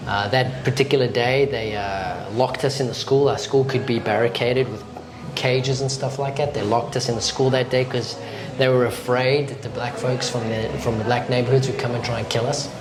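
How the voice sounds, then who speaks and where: With a South African accent, a man speaks at a fairly quick pace with fairly even intonation, with music in the background and audible room echo. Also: medium pitch for a man. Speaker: pastor. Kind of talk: casual interview. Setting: restaurant.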